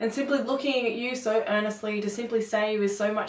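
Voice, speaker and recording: Using a plain, everyday voice, a woman with a fairly high pitch talks at a moderate pace with fairly even intonation. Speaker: poet. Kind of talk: spoken word poetry performance.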